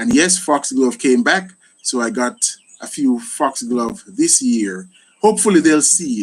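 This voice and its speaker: Speaking with a Jamaican accent, a man has a fairly high pitch and very wide pitch swings. He goes at a fairly slow pace. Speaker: gardening YouTuber. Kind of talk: live stream Q&A. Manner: animated.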